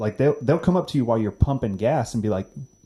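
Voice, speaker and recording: With a Florida accent, a man speaks at a medium pitch. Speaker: podcast guest, overlanding enthusiast. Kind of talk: casual chat.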